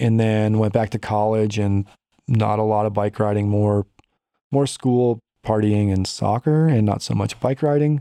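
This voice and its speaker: A man's fairly low, dark, mellow voice at a moderate pace, with ordinary pitch variation, very even loudness and a dry, close sound with no echo. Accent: American. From US Midwest, northern Illinois near Chicago. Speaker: military service member and amateur cyclist. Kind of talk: casual interview. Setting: studio.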